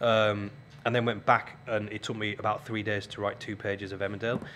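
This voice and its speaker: A man with a strong Yorkshire accent talks at a fairly quick pace in a fairly low pitch. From northern England, Keighley, West Yorkshire. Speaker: radio presenter and TV scriptwriter. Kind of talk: guest lecture. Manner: hesitant, many ums.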